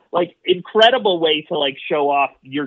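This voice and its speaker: Here a man is talking at a moderate pace. He has a plain, everyday voice. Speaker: frequent podcast guest. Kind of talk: casual chat. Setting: remote call.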